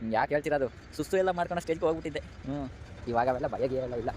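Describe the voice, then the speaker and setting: Here is a man with an ordinary speaking voice. His pitch varies in an ordinary way. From Bengaluru outskirts, Karnataka. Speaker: vlogger. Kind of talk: walking vlog narration. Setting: outdoors, walking. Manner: casual, chatty.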